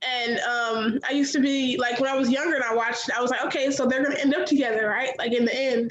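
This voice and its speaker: A woman's high voice at a very fast pace, hardly any pauses and very even loudness, with noticeable background noise. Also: fairly even intonation. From US Midwest, Chicago. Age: 20s. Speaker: college student. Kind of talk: casual chat. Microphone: echo.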